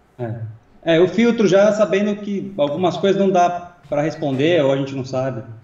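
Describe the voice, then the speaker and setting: Over noticeable background noise, a man with a high pitch talks at a moderate pace with lively intonation and hardly any pauses. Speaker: co-host and assistant. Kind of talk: casual chat.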